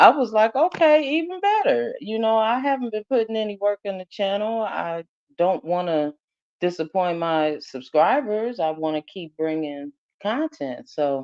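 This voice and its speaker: Loud and at medium pitch, a woman speaks at a moderate pace with very wide pitch swings, the sound dry and close with no echo. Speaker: YouTube live host. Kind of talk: casual chat.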